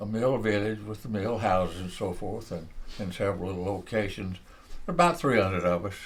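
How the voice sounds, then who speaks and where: A man with an American accent talks at a fairly quick pace and a fairly low pitch, with ordinary pitch variation. Room echo is audible. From US South, northeast Georgia. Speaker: retired textile executive and Marine veteran. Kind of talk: oral history interview.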